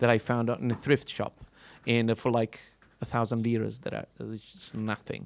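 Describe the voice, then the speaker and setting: A man's medium-pitched voice with an Italian accent at a moderate pace, on a very clean recording with a silent background. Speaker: musician. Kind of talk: interview. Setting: live radio in a concert venue.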